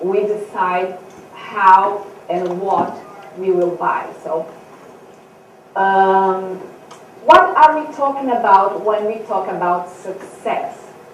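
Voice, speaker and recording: With noticeable background noise and audible room echo, a woman of medium pitch talks at a very slow pace, with ordinary pitch variation and long, frequent pauses. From Brazil. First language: Portuguese. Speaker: author and speaker. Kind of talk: seminar talk. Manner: halting.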